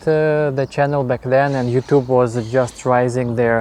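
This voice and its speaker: A man's medium-pitched voice with a Russian accent, fairly even intonation and a fairly slow pace. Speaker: YouTuber. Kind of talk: interview answers. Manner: halting, many fillers.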